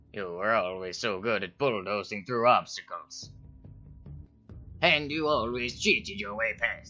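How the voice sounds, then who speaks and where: With faint music in the background, a man does a cartoonish character voice at medium pitch and a moderate pace. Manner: dry, sardonic.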